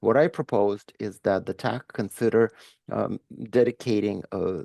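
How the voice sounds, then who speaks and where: A man's fairly low voice with a dark, mellow tone, vocal fry and ordinary pitch variation, against a quiet background. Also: dry, close sound with no echo. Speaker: industry member presenting a proposal. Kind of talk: meeting presentation. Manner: fast.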